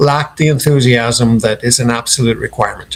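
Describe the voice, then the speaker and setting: A man with a slight Irish accent, at a moderate pace. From Ireland (Dublin, family from Clare). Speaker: company founder. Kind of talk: interview.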